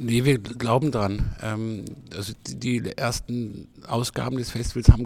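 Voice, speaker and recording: With fairly even intonation, this male voice sits at a medium pitch. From Freiburg, southwestern Germany. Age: 60s. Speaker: festival director. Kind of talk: interview. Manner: halting, many fillers.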